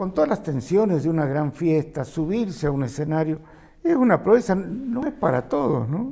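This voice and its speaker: A man speaks in a dark, mellow tone at a fairly high pitch. His pitch swings very widely at a moderate pace. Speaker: interviewer. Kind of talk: interview questions.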